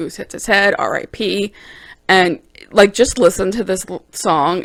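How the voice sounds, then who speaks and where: The woman's voice comes through in a very clean recording with a silent background. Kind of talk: casual talk to camera. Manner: chatty, enthusiastic.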